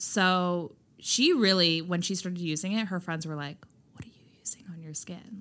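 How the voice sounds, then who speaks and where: An unremarkable speaking voice talks at a moderate pace with ordinary pitch variation and big swings in loudness. The recording is very clean, with a silent background. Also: woman. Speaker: skincare brand founder. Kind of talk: casual interview chat.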